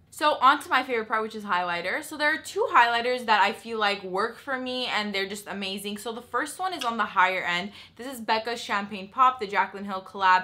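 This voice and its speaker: A woman at a fairly quick pace, lively intonation and big swings in loudness over noticeable background noise. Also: fairly high pitch for a woman, hardly any pauses. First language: not English. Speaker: beauty vlogger. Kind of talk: tutorial. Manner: casual, chatty.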